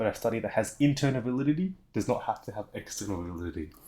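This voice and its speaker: A man at a medium pitch, very wide pitch swings, a very fast pace, very clean recording with a silent background. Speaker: teacher. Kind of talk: recorded lesson explanation. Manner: hesitant, with fillers and stumbles.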